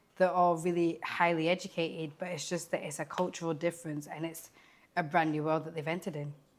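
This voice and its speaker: In a very clean recording with a silent background, a woman talks very fast at a fairly low pitch, her intonation monotone and flat. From Scotland. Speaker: care worker. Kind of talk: interview.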